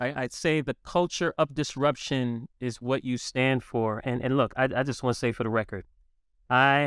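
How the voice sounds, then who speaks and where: A man with an unremarkable speaking voice and medium pitch talks at a moderate pace with ordinary pitch variation in an American accent, on a very clean recording with a silent background. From New York City. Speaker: podcast host. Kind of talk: interview.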